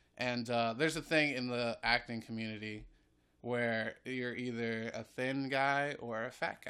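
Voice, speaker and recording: A man with an American accent speaks at a fairly slow pace in a bright, sharp tone with fairly even intonation. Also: medium pitch for a man. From North Carolina (Greensboro). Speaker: improv comedian and actor. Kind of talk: casual chat. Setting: at home.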